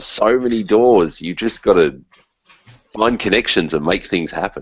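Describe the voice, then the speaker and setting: Against a quiet background, a man with an Australian accent speaks in a dry sound with no echo. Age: 40s. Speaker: musician and teacher; teacher. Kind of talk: casual interview. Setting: video call.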